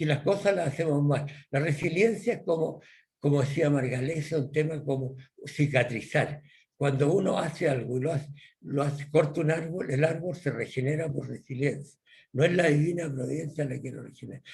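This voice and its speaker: There is audible room echo around a man with a fairly high pitch. His voice is somewhat breathy, with fairly even intonation. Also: moderate pace. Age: 80s+. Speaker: professor. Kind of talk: lecture. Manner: halting.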